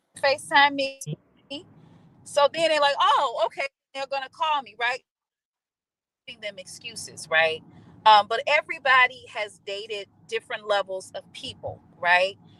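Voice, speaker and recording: A woman's raised, projected voice, high-pitched with a bright, sharp tone, very wide pitch swings, and big swings in loudness, at a moderate pace with long, frequent pauses, in a dry, close sound with no echo. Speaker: podcast guest. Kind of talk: casual chat.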